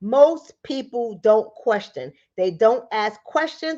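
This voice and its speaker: A woman speaks in an animated tone, her voice high and her pitch swinging very widely. She talks at a fairly slow pace against a quiet background. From New York, the Bronx. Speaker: livestream host, relationship coach. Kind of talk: live stream talk to viewers. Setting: in bed at home.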